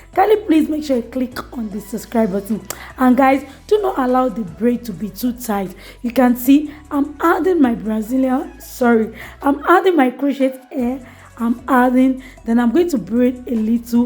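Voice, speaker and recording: The speaker talks at a moderate pace with lively intonation, and there is noticeable background noise. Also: woman, high pitch for a woman. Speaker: hair tutorial creator. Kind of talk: tutorial.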